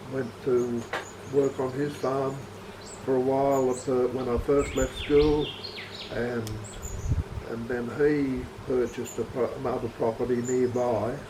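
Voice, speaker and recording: Over noticeable background noise and audible room echo, a man at medium pitch with an Australian accent talks at a fairly slow pace in a monotone, flat intonation. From Australia, rural. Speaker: retired farmer. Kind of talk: interview. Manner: halting.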